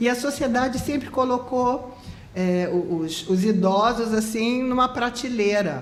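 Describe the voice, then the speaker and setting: A woman talks at a fairly slow pace. Audible room echo and noticeable background noise fill the recording. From Rio de Janeiro, Brazil. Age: 70s. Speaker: architect. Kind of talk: interview.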